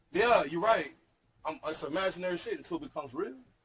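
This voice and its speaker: Talking at a very fast pace, a man with an American accent speaks in a high pitch. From Texas. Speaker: hip hop entrepreneur. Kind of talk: heated debate. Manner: animated.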